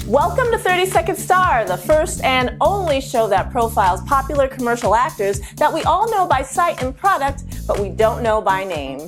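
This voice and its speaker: A woman speaks at a moderate pace, hardly pausing, over background music. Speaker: web series host. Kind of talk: show intro.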